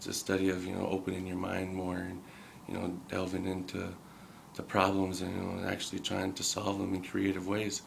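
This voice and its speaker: In a very deep, low voice with an American accent, a man talks at a fairly quick pace. His intonation is monotone and flat, and the room echo is audible. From Minnesota, Red Lake reservation. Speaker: college student. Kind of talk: documentary interview.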